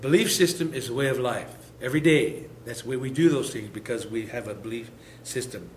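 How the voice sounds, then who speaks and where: Audible room echo surrounds a man speaking at a moderate pace and medium pitch. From Lakota, US Great Plains. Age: 60s. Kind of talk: lecture.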